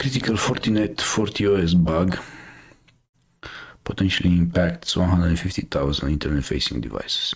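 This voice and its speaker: A man with a very deep, low pitch speaks at a fairly quick pace. His intonation is lively, broken by long, frequent pauses. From Romania. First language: Romanian. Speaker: cybersecurity news streamer. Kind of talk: casual live stream commentary. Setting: live stream. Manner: hesitant, many fillers.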